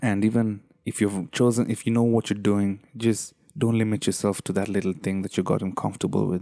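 Talking at a fairly quick pace, a man with a fairly low pitch and a dark, mellow tone is heard on a very clean recording with a silent background. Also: fairly even intonation. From Kenya. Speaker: podcast host. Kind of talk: solo motivational monologue. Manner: casual, laughs often.

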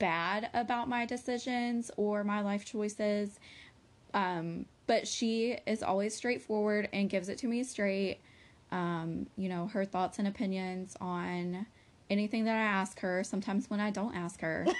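Medium in pitch, this woman has a plain, everyday voice. She speaks at a fairly slow pace. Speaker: podcast co-host. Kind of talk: casual chat.

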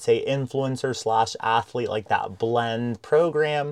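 A man's normal speaking voice, medium in pitch, at a fairly slow pace with fairly even intonation. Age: 30s. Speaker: podcast host. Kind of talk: interview. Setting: studio with cameras and mics.

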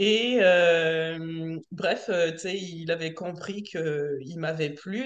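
The woman's pitch is fairly low, and it varies in an ordinary way. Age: 40s. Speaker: self-employed worker, coaching client. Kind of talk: casual chat.

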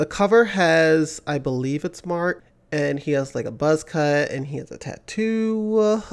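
In a very clean recording with a silent background, an unremarkable speaking voice moves at a moderate pace with lively intonation. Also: man. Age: 30s. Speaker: music podcast host. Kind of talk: casual solo commentary. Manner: casual, with fillers and restarts.

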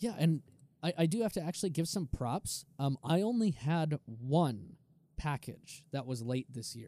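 A man with an unremarkable speaking voice talks at a fairly slow pace, his pitch fairly high. His intonation is lively, and the sound is dry and close with no echo. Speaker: car podcast co-host. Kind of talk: casual chat. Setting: remote call.

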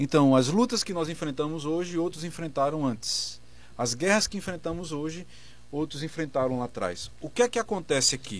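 A man speaks in a normal speaking voice at a moderate pace. His pitch sits fairly high, with lively intonation. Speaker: pastor, debate panelist. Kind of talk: religious debate.

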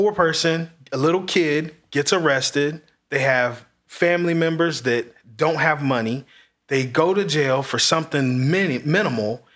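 A man with an American accent, a fairly high pitch, ordinary pitch variation, very even loudness and a moderate pace, in a plain, everyday voice. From Marion, Indiana. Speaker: real estate agent. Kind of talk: casual chat.

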